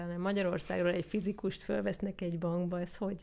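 A woman talks in an unremarkable speaking voice at a fairly low pitch. Her pace is fairly quick and her intonation fairly even. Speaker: podcast host. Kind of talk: interview.

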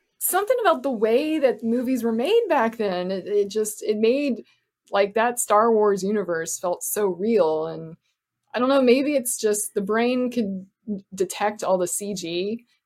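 An ordinary speaking voice with an American accent moves at a fairly slow pace with ordinary pitch variation. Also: woman, fairly high pitch for a woman. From Florida. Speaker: actor and filmmaker. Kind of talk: casual interview chat.

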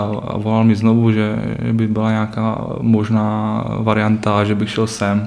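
A man with a slight North Moravian accent speaks very slowly at a medium pitch, his intonation monotone and flat. Noticeable background noise and audible room echo fill the recording. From Czech Republic, Třinec (northern Moravia/Silesia). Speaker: youth ice hockey coach. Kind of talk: podcast interview.

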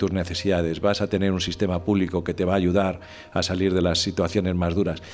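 The pitch of this man's voice is very deep and low. Everything he says comes out monotone and flat. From Spain, Madrid. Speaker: former corporate executive and communicator. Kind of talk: podcast interview.

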